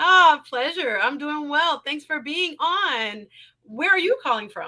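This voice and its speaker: With an American accent, a woman uses a raised, projected voice that is high-pitched, bright and sharp, moving through very wide pitch swings at a fairly slow pace. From South Florida. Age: 40s. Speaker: live stream talk show host. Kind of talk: live stream call-in chat. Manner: animated.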